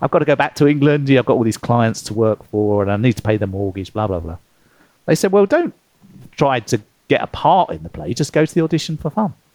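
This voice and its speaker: Over a quiet background, a man with a British accent talks very fast at a medium pitch with very wide pitch swings, the sound dry and close with no echo. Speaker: author and former consultant. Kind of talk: interview conversation.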